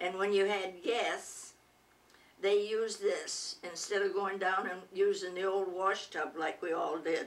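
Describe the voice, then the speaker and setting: A woman with an American accent speaks at a fairly slow pace and medium pitch, her intonation monotone and flat. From Michigan, US Midwest. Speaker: retired teacher. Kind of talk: oral history interview. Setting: at home. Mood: warm, reminiscing. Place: home room. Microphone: camera far.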